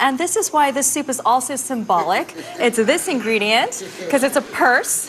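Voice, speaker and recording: A woman's high voice in an American accent, swinging very widely in pitch at a moderate pace, with music in the background. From New Jersey, US. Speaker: chef. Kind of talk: cooking demonstration. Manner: animated.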